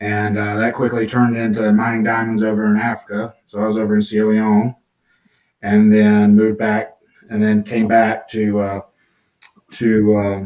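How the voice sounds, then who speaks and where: Man with a Georgia accent, fairly low in pitch, moderate in pace, with monotone, flat intonation. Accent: Southern American (Georgia). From US South, southwest Georgia. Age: 50s. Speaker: children's book author. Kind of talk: podcast interview. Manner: casual, hesitant with fillers.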